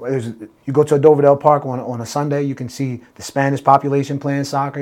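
Very fast speech from a man with an American accent, medium pitch and a flat, monotone delivery. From Salisbury, Maryland (US Mid-Atlantic). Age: 30s. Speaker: mayoral candidate. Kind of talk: interview.

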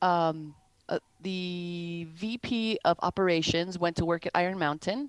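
Very slowly and with ordinary pitch variation, a woman speaks at a fairly low pitch, her sound dry and close with no echo on a very clean recording with a silent background. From Wisconsin. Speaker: sales enablement professional. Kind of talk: interview.

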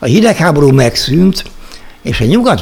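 Noticeable background noise sits behind a man talking at a moderate pace with very wide pitch swings. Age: 60s. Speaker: investment blogger. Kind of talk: solo monologue. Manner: formal.

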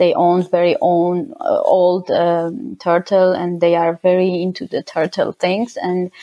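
A woman talks at a fairly slow pace with an Armenian accent and hardly any pauses. Her pitch varies in an ordinary way. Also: medium pitch for a woman. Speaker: winemaker. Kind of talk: interview. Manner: halting.

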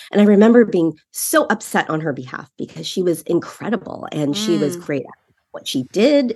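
A woman speaks at medium pitch with a Californian accent. Her pitch swings very widely. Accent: Californian American. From San Francisco Bay Area. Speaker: marketing executive. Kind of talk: interview.

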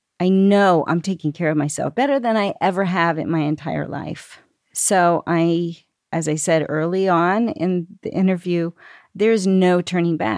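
In an American accent, a woman speaks at a moderate pace with a fairly low pitch, on a very clean recording with a silent background. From Pennsylvania, Lancaster. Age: 60s. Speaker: mother of the show's hosts, vegan fitness client. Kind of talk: interview.

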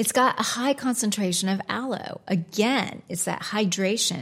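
Her voice is somewhat breathy, with an American accent. The woman speaks at a fairly slow pace with ordinary pitch variation. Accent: American, noticeable. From United States. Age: 40s. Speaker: skincare and beauty trainer. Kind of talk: informative talk about products.

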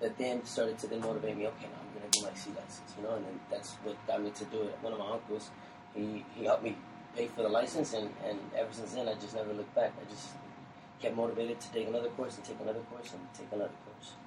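A man's monotone, flat delivery in an American accent, very fast, at a medium pitch, with big swings in loudness over noticeable background noise. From Kansas City, US Midwest. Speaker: soccer coach. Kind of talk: casual interview chat. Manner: halting, repeats words.

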